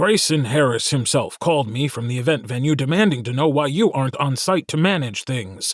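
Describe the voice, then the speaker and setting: In a put-on character voice, a man talks at a fairly quick pace with a fairly high pitch and lively intonation, on a very clean recording with a silent background. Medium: read story. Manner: barking, curt.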